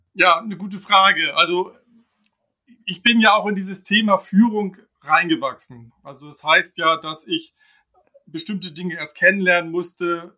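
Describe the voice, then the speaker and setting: High-pitched man's raised, projected voice at a moderate pace, with ordinary pitch variation, big swings in loudness and long, frequent pauses. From Hamburg, northern Germany. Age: 50s. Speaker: team leader. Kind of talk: interview.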